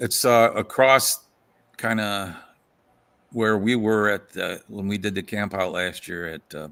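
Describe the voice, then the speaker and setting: Against a silent background in a very clean recording, a man with a western Pennsylvania accent speaks at a fairly slow pace and fairly low pitch, with fairly even intonation and long, frequent pauses. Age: 60s. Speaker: folklorist. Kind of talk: casual chat.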